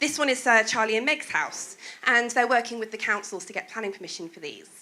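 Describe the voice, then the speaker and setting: A woman with a Welsh accent, fairly high pitch, a bright, sharp tone, ordinary pitch variation, big swings in loudness, and a fairly quick pace. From Wales. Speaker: presentation speaker. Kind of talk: presentation talk.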